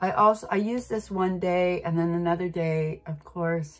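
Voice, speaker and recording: With faint music in the background, a woman speaks at a moderate pace in a fairly low pitch with ordinary pitch variation. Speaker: beauty vlogger. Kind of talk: casual makeup tutorial chat. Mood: relaxed, self-deprecating, laughs. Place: home room. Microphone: phone near.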